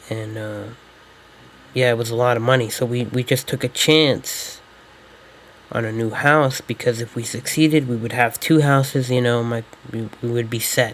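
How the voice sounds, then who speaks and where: At a moderate pace, a man with a medium pitch and fairly even intonation speaks with long, frequent pauses. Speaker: YouTuber talking about his life. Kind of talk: scripted personal monologue. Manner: halting, stumbling.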